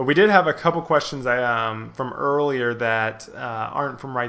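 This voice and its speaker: A man talks in an ordinary speaking voice. His medium pitch shows ordinary variation. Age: 20s. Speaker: podcast host. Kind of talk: casual chat.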